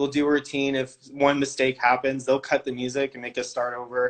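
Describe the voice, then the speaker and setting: A man with an American accent at medium pitch, flat and monotone in intonation, at a fairly quick pace. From California. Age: 20s. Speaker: all-star cheerleader. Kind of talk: interview answers. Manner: casual, filler-heavy.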